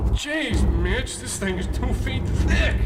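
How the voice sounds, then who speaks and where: Over loud background noise, a man delivers a put-on character voice at a fairly slow pace. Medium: audio drama.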